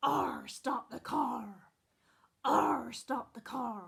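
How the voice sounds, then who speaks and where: In a put-on character voice, the speaker sounds raspy, with a fairly high pitch and a very slow pace. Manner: mock-piratical, playful.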